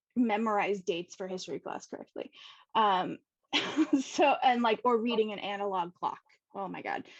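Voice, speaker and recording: In an American accent, a woman speaks at a moderate pace and medium pitch with ordinary pitch variation, big swings in loudness and long, frequent pauses, on a dry, close recording with no echo. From US West Coast, San Diego. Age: 30s. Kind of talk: interview, personal story. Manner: casual, many fillers.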